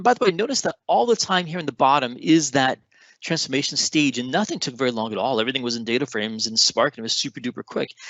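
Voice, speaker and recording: At a very fast pace, a man with a medium-pitched voice speaks using lively intonation. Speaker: data engineering product expert presenting a session. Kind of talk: technical conference presentation with live demo.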